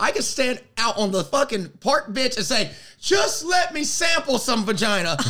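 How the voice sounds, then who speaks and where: A man with an extremely high pitch and very wide pitch swings speaks in a raised, projected voice and animated tone at a moderate pace. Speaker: podcast host. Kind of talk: casual comedic chat. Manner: joking, animated.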